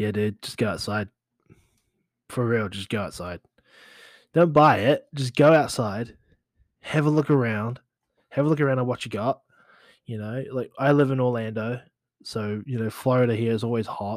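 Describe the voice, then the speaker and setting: An animated tone with ordinary pitch variation, moderate pace and long, frequent pauses, in a very clean recording with a silent background. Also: man, medium pitch for a man. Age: 30s. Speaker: podcast host, social media marketer. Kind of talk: casual solo podcast talk.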